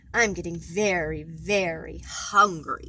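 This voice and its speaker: A woman's growling, put-on character voice at a fairly slow pace, with clear background noise. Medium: read story. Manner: quarrelsome, snarling.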